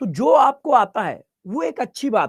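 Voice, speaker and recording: The speaker is a man. His intonation is lively. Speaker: chemistry teacher. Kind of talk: online live class lecture. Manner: quiet; repetitive.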